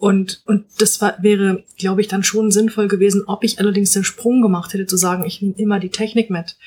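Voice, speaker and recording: Here is a woman at medium pitch with a dark, mellow tone. She sounds somewhat breathy and hardly pauses at all. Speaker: novelist. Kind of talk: casual chat. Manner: hesitant, many fillers.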